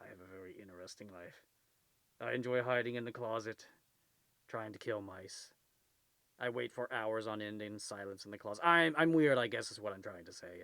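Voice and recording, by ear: A man puts on a character voice at medium pitch. He talks at a fairly quick pace with long, frequent pauses.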